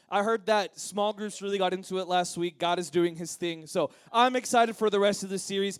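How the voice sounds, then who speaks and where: With an energetic tone and a high pitch, a man speaks at a fairly quick pace with hardly any pauses. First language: Spanish. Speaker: youth pastor. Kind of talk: sermon.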